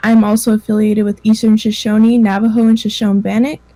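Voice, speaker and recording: A woman's fairly high, somewhat breathy voice with a dark, mellow tone and an American accent, fairly quick and monotone, flat in intonation. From Idaho, US. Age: young. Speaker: Native youth presenter. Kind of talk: presentation.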